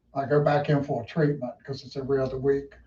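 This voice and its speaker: This man speaks at a moderate pace with a Southern US accent, his tone dark and mellow and somewhat breathy. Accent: US South. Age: 60s. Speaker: race car driver. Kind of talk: interview.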